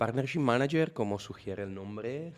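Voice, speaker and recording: Recorded very cleanly against a silent background, the speaker has an Italian accent and ordinary pitch variation. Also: man. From Italy. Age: 40s. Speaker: software partnership manager. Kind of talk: podcast interview. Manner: halting.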